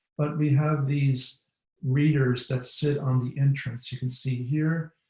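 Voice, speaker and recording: Talking at a fairly slow pace, a man with a medium pitch and a dark, mellow tone sounds somewhat breathy and keeps a flat, monotone intonation. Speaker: bat researcher. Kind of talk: webinar presentation.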